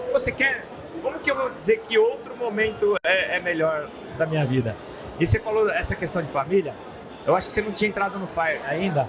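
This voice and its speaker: A man's high voice at a fairly quick pace, with very wide pitch swings and music in the background. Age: 60s. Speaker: business founder. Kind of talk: podcast interview. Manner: repetitive, halting.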